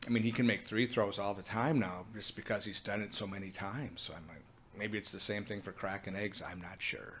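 A man with an American accent and an ordinary speaking voice talks at a fairly quick pace in a fairly low pitch. His intonation is fairly even, but his loudness swings a lot. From Minnesota. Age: 50s. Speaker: food business owner. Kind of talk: casual interview.

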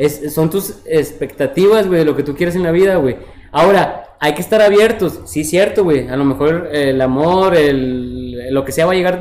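Noticeable background noise sits under a voice at a moderate pace with ordinary pitch variation and hardly any pauses. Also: man. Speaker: podcast host. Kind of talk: casual chat. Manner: animated.

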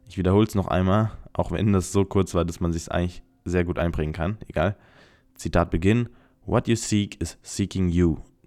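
A man speaks in a very deep, low voice. Music plays in the background. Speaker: podcast host. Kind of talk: solo podcast monologue. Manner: chatty, talkative.

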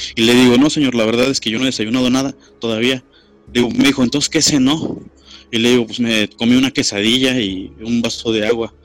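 A man talks at a fairly quick pace. His medium pitch stays fairly even. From Mexico, Querétaro. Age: 20s. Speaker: secondary school teacher. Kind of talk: casual storytelling interview. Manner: halting.

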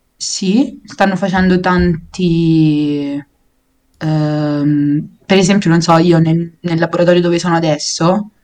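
This woman has a Roman accent and a fairly low pitch. She speaks very slowly with fairly even intonation. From Rome, Italy. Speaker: biology master's student. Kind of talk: casual chat explaining science.

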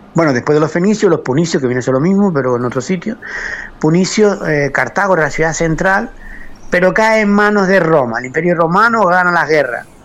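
The speech is fairly quick with lively intonation, set against noticeable background noise. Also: man, high pitch for a man. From Canary Islands, Lanzarote (Arrecife). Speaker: master potter. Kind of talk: interview.

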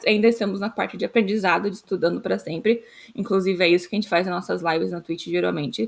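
Vocal fry runs through a woman's very fast speech, which has ordinary pitch variation. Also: medium pitch for a woman. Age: 20s. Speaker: developer relations engineer, podcast co-host. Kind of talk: casual chat.

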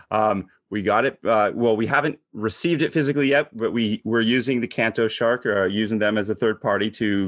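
A man with a plain, everyday voice and an American accent speaks fairly quickly at a fairly low pitch with ordinary pitch variation, recorded with a dry, close sound, no echo and a quiet background. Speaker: podcast host. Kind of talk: casual chat.

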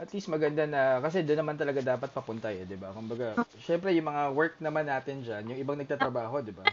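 Very fast delivery with lively intonation and big swings in loudness. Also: man, fairly high pitch for a man. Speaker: podcast host. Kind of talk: casual interview.

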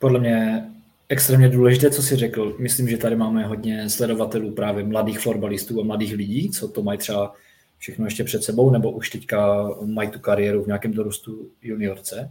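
In an ordinary speaking voice, the speaker goes at a fairly quick pace with fairly even intonation. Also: man, fairly low pitch for a man. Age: 30s. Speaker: floorball player. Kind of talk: casual chat.

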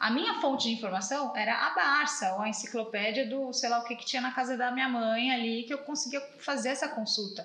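A woman talks at a high pitch and fairly quick pace with hardly any pauses. Noticeable background noise and audible room echo fill the recording. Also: ordinary pitch variation. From Brazil. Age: 30s. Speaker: automotive journalist. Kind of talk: casual interview chat. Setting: father's car workshop.

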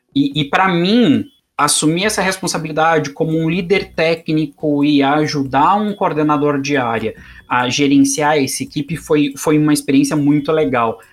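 A man with a fairly high pitch, ordinary pitch variation and a moderate pace, in an unremarkable speaking voice. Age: 30s. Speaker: software quality specialist. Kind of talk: interview.

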